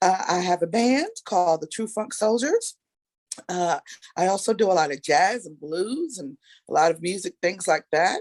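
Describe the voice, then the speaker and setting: A woman with a New York accent at medium pitch and moderate pace, lively intonation, big swings in loudness, and a dry, close sound with no echo. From New York, Brooklyn. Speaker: singer. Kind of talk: casual chat.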